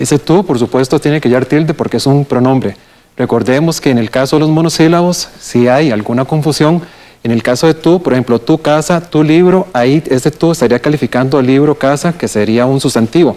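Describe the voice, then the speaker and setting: A man with a Costa Rican accent and a dark, mellow tone speaks at a fairly quick pace and fairly high pitch, with ordinary pitch variation and very even loudness. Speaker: writer and philologist. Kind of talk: TV language segment explanation.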